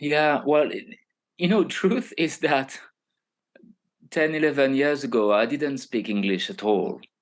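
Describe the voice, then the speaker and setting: A man with a French accent and a fairly high pitch talks at a fairly slow pace, making very wide pitch swings and long, frequent pauses. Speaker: human design teacher. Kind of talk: podcast interview. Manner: halting.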